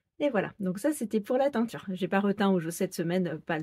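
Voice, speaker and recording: This woman's voice is dark and mellow, somewhat breathy, at a medium pitch. She talks at a fairly quick pace. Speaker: sewing pattern designer and knitting vlogger. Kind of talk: casual vlog podcast. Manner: hesitant with many fillers.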